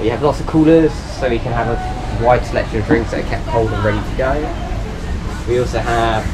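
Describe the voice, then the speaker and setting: The speaker talks at a fairly quick pace while music plays in the background. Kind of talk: guided tour commentary. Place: boat.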